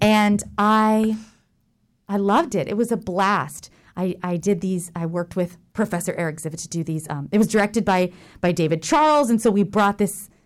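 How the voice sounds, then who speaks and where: A woman with an American accent speaks at a moderate pace in a plain, everyday voice. Her pitch is medium with ordinary variation, and the recording is very clean with a silent background. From Jacksonville, Florida. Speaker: theater manager and lecturer. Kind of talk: casual interview. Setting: radio studio.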